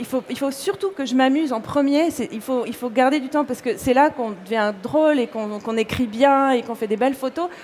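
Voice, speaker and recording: Lively in intonation and high in pitch, a woman speaks over noticeable background noise. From Corsica. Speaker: fashion blogger and illustrator. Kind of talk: interview.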